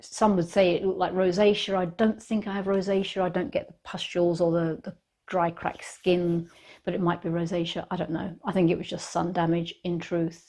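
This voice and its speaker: Against a quiet background, a woman speaks fairly quickly in a British accent, her fairly low pitch and dark, mellow tone delivered with monotone, flat intonation. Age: 60s. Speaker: lifestyle vlogger. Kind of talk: casual talk to camera. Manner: hesitant, repeats words.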